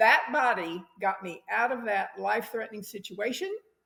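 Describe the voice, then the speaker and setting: The voice is somewhat breathy, with lively intonation. The pace is moderate. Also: woman. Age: 70s. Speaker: interview guest sharing life story. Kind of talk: podcast interview.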